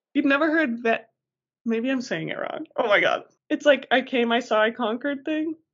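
A woman's high voice with a Colorado accent, at a moderate pace and with ordinary pitch variation. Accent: American, Colorado. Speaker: podcast co-host. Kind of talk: casual chat.

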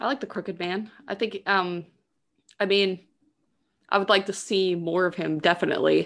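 Speaking at a moderate pace, a woman uses vocal fry and leaves long, frequent pauses. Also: medium pitch for a woman, fairly even intonation, very clean recording, silent background. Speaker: actress, podcast guest. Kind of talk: casual chat.

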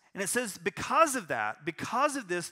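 His voice is raised and projected. This man's tone comes across bright and sharp. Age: 40s. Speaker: pastor. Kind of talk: sermon. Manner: halting.

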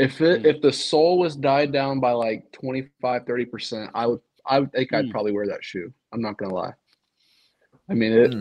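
In an American accent, a normal speaking voice keeps a moderate pace, its pitch moving in an ordinary way. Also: man, medium pitch for a man. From coastal North Carolina. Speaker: podcast intern. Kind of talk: casual chat.

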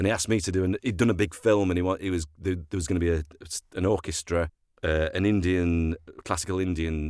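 Here is a man with a Sheffield accent. He speaks at a fairly quick pace with fairly even intonation. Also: very clean recording, silent background. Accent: Yorkshire (Sheffield) English. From Sheffield, northern England. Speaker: actor and voiceover artist. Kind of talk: casual chat.

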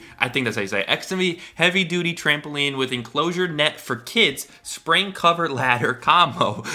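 Over noticeable background noise, the speaker keeps a moderate pace with hardly any pauses, an animated tone and lively intonation. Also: man, fairly high pitch for a man. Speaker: podcast co-host. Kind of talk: casual chat.

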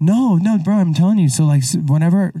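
A somewhat breathy man's voice with an American accent, a dark, mellow tone and ordinary pitch variation. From Idaho. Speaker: podcast host. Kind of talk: casual chat. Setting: studio.

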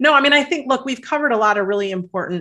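With an American accent, a woman speaks in a bright, sharp tone and lively intonation. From US Midwest. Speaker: author and life coach. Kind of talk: interview.

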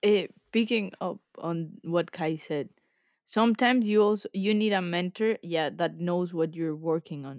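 Fairly low in pitch, a woman with a Spanish accent speaks at a fairly slow pace with ordinary pitch variation, in a dry, close sound with no echo. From Colombia. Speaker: graduate engineer. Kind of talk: casual chat.

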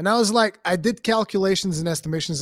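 With a Portuguese accent, a man is heard on a very clean recording with a silent background. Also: dry, close sound with no echo. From Portugal. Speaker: gaming content creator. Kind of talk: casual chat.

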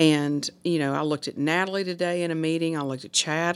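A woman's very deep, low voice with a Mississippi accent, in a very clean recording with a silent background. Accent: US Southern (Mississippi). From northern Mississippi, Hernando. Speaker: city alderwoman. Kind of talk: casual chat. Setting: hotel room.

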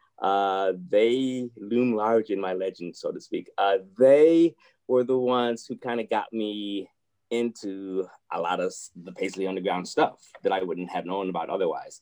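Speaking at a fairly slow pace with an American accent, a man uses a fairly low pitch and a dark, mellow tone with ordinary pitch variation. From Ohio, Toledo. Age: 50s. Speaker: musician, bassist. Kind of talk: interview.

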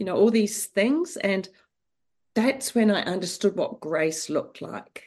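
A woman with a New Zealand accent talks at a fairly slow pace. Her medium pitch moves with lively intonation. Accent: New Zealand, noticeable. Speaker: author and mother. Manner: warm, storytelling.

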